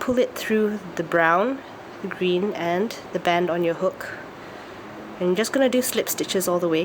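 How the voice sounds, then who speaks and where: Noticeable background noise sits behind a woman of medium pitch with ordinary pitch variation. She keeps a moderate pace and very even loudness. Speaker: craft tutorial maker. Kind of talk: tutorial.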